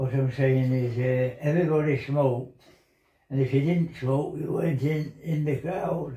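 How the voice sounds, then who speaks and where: This man has a fairly high pitch and a dark, mellow tone that is somewhat breathy, talking at a fairly slow pace with fairly even intonation and long, frequent pauses. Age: 80s+. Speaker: former miner and military veteran. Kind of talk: interview answer. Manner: reminiscing.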